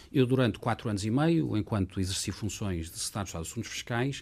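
The recording is very clean with a silent background. A man speaks with a somewhat breathy sound. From Portugal, Lisbon. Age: 50s. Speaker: lawyer and former government official. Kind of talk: interview.

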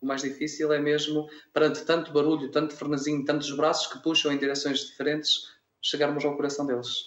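Fairly quick, monotone speech from a man with a fairly high pitch and flat intonation. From Minho, Braga district, northern Portugal. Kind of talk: radio interview.

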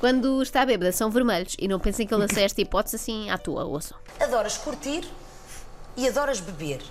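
The speaker talks at a fairly quick pace with lively intonation, in a European Portuguese accent. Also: woman, fairly high pitch for a woman. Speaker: comedian. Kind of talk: comedic commentary on reality TV clips.

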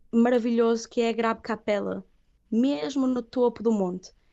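A plain, everyday voice from a woman, fairly high in pitch and at a fairly slow pace. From northern Portugal, Viana do Castelo. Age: 30s. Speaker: singer. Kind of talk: interview.

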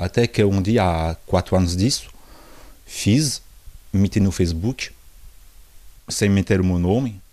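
Very deep and low, this man's voice has a dark, mellow tone, ordinary pitch variation, and a moderate pace. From France, Portuguese parents. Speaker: visual artist. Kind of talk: interview. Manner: halting.

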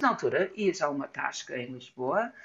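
Very deep, low pitch from a woman with an English accent, lively intonation and a fairly slow pace. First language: English (speaking Portuguese). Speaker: illustrator. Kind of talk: casual chat. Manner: halting.

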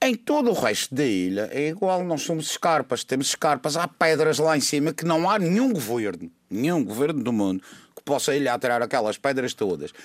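With hardly any pauses, a man speaks at a moderate pace and fairly high pitch, his voice making very wide pitch swings in a very clean, silent-background recording that is dry and close with no echo. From Madeira, Portugal. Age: 60s. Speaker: doctor and political commentator. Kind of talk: radio panel discussion.

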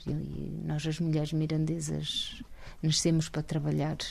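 In a very clean recording with a silent background, a woman speaks at a fairly slow pace with a very deep, low pitch. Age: 50s. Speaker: local election candidate. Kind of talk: interview.

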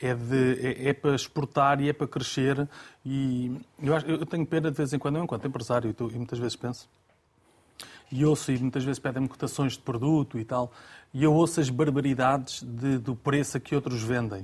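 A man with a medium-pitched, somewhat breathy voice speaks at a fairly quick pace with fairly even intonation, in a very clean recording with a silent background. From Lisbon, Portugal. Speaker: pastry shop owner. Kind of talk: casual chat. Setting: studio.

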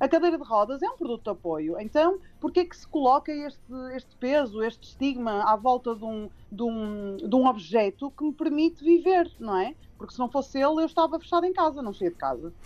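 A woman with a Porto accent, high-pitched and fairly quick, with very wide pitch swings, big swings in loudness, and music in the background. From Porto, northern Portugal. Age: 30s. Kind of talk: radio interview. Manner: hesitant with frequent fillers and repetitions.

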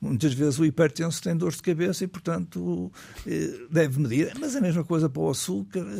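Fairly quick and lively in intonation, a man speaks with a fairly high pitch and a dark, mellow tone. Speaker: cardiologist. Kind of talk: radio interview. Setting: studio.

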